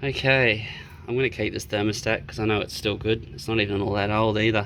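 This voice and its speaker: The pace is fairly quick. A man delivers the words in an Australian accent. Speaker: car DIY enthusiast. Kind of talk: casual DIY talk to camera. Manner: rambling, casual.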